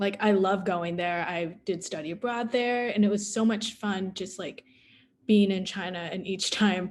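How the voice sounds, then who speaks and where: A woman with an American accent speaks in a normal speaking voice at a medium pitch. Her intonation is fairly even, her pace is moderate, and the background is quiet. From US. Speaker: adoptee panelist. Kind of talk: panel Q&A discussion.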